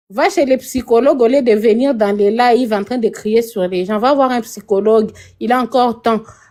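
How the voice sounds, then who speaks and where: A woman with a Congolese accent, fairly high in pitch with a dark, mellow tone, at a moderate pace with ordinary pitch variation, on a very clean recording with a silent background. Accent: Congolese French accent noticeable. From DR Congo, Kinshasa. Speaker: participant in a TikTok live debate. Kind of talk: casual heated debate.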